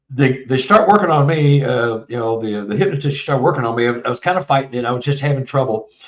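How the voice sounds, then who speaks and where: A man at medium pitch with an American accent, ordinary pitch variation and a very fast pace with hardly any pauses, over noticeable background noise. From Texas. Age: 70s. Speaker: author. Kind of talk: casual interview.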